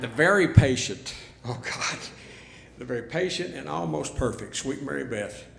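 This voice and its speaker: Amid noticeable background noise and audible room echo, the voice moves at a moderate pace with very wide pitch swings and big swings in loudness. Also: man, medium pitch for a man. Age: old. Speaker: radio host, hall of fame inductee. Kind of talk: acceptance speech. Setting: stage with audience. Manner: halting, stumbling.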